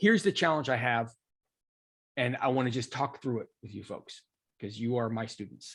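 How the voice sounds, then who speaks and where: Speaking at a moderate pace, a man leaves long, frequent pauses and shows big swings in loudness. His voice sits at medium pitch with ordinary pitch variation. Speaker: coding instructor. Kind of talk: online class chat.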